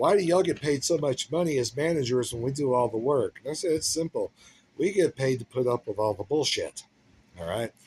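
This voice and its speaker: Lively intonation from a man with an American accent, in a dry, close sound with no echo. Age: 60s. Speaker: chef giving career advice. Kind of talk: casual talk to camera. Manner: conversational with fillers and hesitations.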